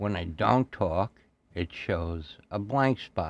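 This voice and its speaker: This man speaks at a fairly low pitch with ordinary pitch variation. The sound is dry and close, with no echo. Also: quiet background. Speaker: audio engineering podcaster. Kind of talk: tutorial. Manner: conversational, unscripted.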